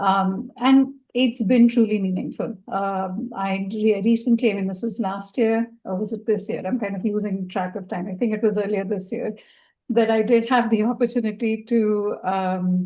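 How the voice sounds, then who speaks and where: With a Marathi accent, this voice has a dark, mellow tone, fairly even intonation and a moderate pace over a quiet background. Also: woman. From India, Maharashtra (Pune). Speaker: donor. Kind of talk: panel discussion. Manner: halting, many fillers.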